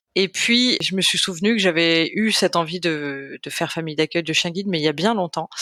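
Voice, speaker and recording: A woman's normal speaking voice, fairly low in pitch, at a fairly quick pace with hardly any pauses and ordinary pitch variation, in a dry, close sound with no echo. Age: 30s. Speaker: volunteer guide dog foster family. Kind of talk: interview. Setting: podcast recording.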